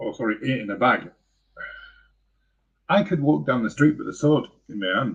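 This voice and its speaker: With an English accent and vocal fry, a man of medium pitch speaks at a moderate pace with lively intonation and long, frequent pauses. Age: 50s. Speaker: vlogger. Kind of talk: live stream monologue. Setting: live stream. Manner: halting.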